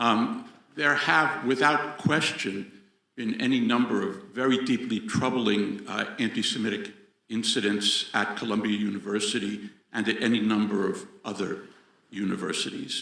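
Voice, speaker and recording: A man with an American accent speaks at a moderate pace in an ordinary speaking voice, with medium pitch and ordinary pitch variation. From United States. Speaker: audience member, professor. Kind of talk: audience question. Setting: venue with live audience.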